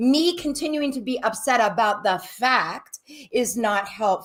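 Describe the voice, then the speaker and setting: A woman speaks at a high pitch with very wide swings. Her pace is very slow. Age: 60s. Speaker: licensed therapist. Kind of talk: advice-giving interview.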